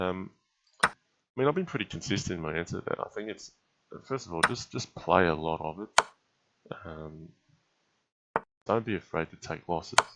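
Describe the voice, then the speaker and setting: A man speaks at a moderate pace with a very deep, low pitch and a bright, sharp tone. His intonation is lively, broken by long, frequent pauses. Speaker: chess streamer and commentator. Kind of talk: live game commentary and chat Q&A. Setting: live stream. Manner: casual, many filler words.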